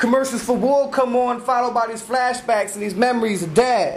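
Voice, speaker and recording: Amid noticeable background noise and audible room echo, a man speaks at an extremely high pitch with fairly even intonation. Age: 20s. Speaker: spoken word poet. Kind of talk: spoken word performance. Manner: stutter.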